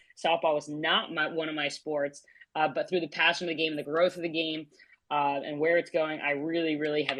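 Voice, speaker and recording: At a fairly quick pace, a woman with a New Jersey accent talks in a very deep, low pitch. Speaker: sports podcast host, former college athlete. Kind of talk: casual chat. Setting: online audio space.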